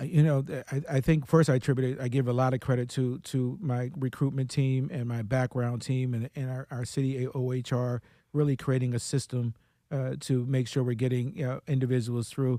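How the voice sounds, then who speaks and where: In a very clean recording with a silent background, a man with an American accent talks at a fairly quick pace and medium pitch. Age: 60s. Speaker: police commissioner. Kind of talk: radio interview. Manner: enthusiastic.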